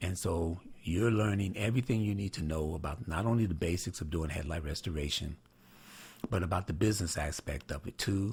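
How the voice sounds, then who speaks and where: A man talks at a fairly quick pace in a very deep, low pitch. His voice is somewhat breathy, with ordinary pitch variation. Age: 60s. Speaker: headlight restoration trainer, channel owner. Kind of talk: casual announcement to viewers. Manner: hesitant, many fillers (uh, you know).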